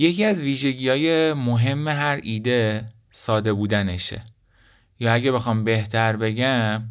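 A man at a very slow pace amid audible room echo. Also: medium pitch for a man, ordinary pitch variation, very even loudness. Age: 20s. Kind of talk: solo podcast monologue.

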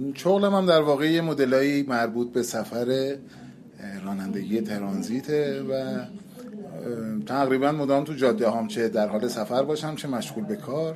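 Over noticeable background noise, a man talks at a moderate pace with a medium pitch and lively intonation. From Iran, Qazvin. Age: 30s. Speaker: touring cyclist and transit truck driver. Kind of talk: interview.

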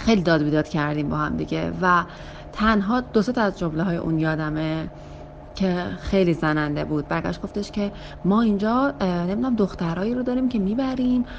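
Speech at a fairly quick pace with lively intonation, over noticeable background noise. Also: woman, fairly low pitch for a woman. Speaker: interviewee sharing a personal story. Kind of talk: casual storytelling.

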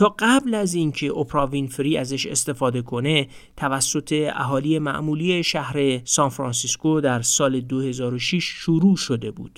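A man's ordinary speaking voice, fairly high in pitch with ordinary pitch variation, at a fairly slow pace. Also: very clean recording, silent background. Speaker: podcast host explaining a book. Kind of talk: scripted narration.

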